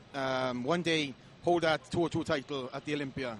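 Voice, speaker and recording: A man with a Welsh accent and ordinary pitch variation. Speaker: professional bodybuilder. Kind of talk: interview. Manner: hesitant, many fillers.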